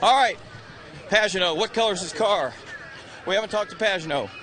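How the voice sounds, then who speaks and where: Over noticeable background noise, a man talks in a raised, projected voice at a fairly quick pace. His pitch is high and his intonation lively. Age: 60s. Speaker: pit reporter. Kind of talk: live pit lane interviews.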